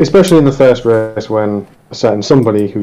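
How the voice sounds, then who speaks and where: At a moderate pace, a man with a fairly low pitch and ordinary pitch variation speaks over noticeable background noise. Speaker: sim racing driver. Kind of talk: casual chat.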